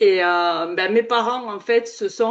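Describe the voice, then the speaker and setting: A woman with a southern French accent, at a moderate pace. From southern France. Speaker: podcast host. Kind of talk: casual chat.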